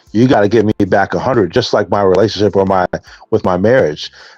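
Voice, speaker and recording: Music plays in the background of this dry, close recording with no echo. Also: man. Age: 40s. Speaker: person in addiction recovery. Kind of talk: testimony. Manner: halting.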